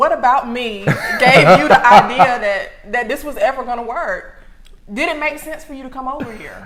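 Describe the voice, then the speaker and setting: A woman with a high pitch speaks at a moderate pace in an animated tone with lively intonation, over noticeable background noise. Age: 20s. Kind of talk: casual chat.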